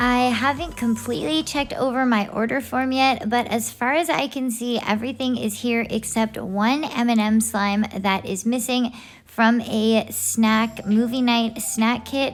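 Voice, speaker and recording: Soft-spoken and fairly high-pitched, a woman talks at a fairly slow pace with fairly even intonation and hardly any pauses. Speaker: slime reviewer YouTuber. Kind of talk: product unboxing review. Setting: home at night. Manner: quiet, soft-spoken.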